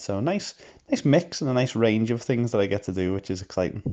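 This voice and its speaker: With a Liverpool accent, a man speaks in a dark, mellow tone at a moderate pace against a quiet background. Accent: Scouse (Liverpool). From Liverpool, England. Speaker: missions worker. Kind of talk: interview. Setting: voice notes.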